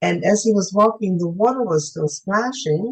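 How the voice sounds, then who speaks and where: Her intonation is lively, at a moderate pace. The woman's voice is somewhat breathy. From Germany. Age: 80s+. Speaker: UFO contactee. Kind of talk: interview testimony. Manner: halting.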